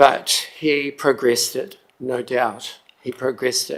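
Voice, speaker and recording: This man talks with a New Zealand accent. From New Zealand, Tararua district. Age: 60s. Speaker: member of the public making a submission. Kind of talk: public submission at council hearing. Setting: council chamber.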